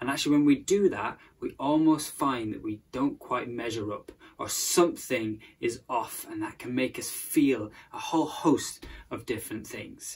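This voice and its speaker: A man speaks at a moderate pace, his loudness swinging widely from moment to moment. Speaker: presenter. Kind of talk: sermon-style talk to camera. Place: home room. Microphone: phone near.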